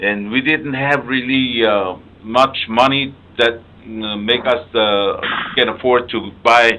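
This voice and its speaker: A man's medium-pitched voice in a Palauan accent, very slow, with fairly even intonation. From Palau (Ngermid village, Koror). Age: 70s. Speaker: radio host. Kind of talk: health interview. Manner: halting.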